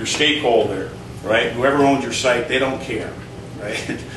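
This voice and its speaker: Noticeable background noise and audible room echo surround the recording. A man speaks at a medium pitch with ordinary pitch variation. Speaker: internet marketing consultant. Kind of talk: talk to a live audience. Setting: stage with audience. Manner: animated; halting. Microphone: speaking without a mic.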